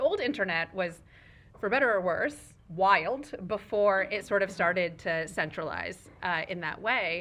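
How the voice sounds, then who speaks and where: Speaking at a fairly slow pace, a woman of medium pitch uses lively intonation. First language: Urdu. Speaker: executive director of a tech nonprofit. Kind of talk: fireside chat on a panel stage.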